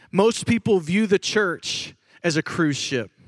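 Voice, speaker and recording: Recorded very cleanly against a silent background, a man with an American accent speaks with ordinary pitch variation in a dry, close sound with no echo. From Chicago, Illinois. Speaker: pastor. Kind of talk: conference talk. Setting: stage with audience. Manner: animated.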